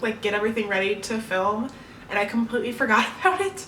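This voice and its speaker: Noticeable background noise surrounds a woman speaking in a high-pitched voice with an upbeat tone. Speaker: BookTuber. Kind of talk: casual talk to camera. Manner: upbeat, chatty.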